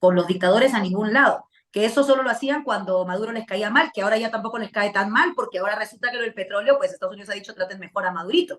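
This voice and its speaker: Ordinary pitch variation in a fairly high female voice. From Peru, Lima. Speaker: political commentator. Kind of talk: interview.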